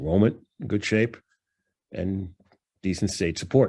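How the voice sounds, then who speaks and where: A voice with a New York accent, on a very clean recording with a silent background. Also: man. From New York, Long Island. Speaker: professor presenting financial analysis. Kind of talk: lecture presentation. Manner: casual, many fillers.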